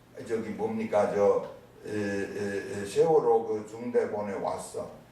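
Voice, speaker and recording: Over noticeable background noise and audible room echo, a man speaks at a fairly slow pace with very wide pitch swings. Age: 60s. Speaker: professor. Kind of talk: lecture. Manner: animated.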